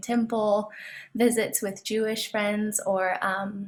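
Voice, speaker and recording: The speaker sounds somewhat breathy and talks with an American accent. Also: woman. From Southern California, San Diego. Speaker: divinity student. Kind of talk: panel discussion.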